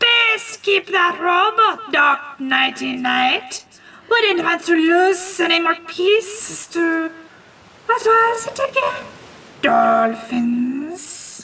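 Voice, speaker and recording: Hissing and gruff, a female-sounding put-on character voice speaks at a very slow pace with an extremely high pitch for a woman. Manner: mocking, sardonic.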